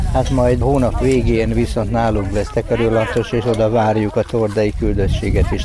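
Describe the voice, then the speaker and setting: Speech at a moderate tempo comes through noticeable background noise. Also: man. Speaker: mayor, team leader. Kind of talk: interview. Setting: outdoors at festival.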